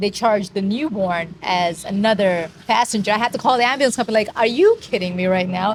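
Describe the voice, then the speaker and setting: A woman with an American accent speaks at a medium pitch with fairly even intonation. Hers is a plain, everyday voice. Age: 40s. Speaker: vlogger. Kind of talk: casual chat.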